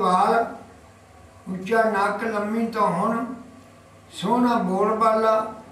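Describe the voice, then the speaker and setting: The man's high-pitched voice stays monotone and flat, with audible room echo around it. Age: 80s+. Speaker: elderly friend of a freedom fighter. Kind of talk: interview answer, reminiscence. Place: home room. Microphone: camera far.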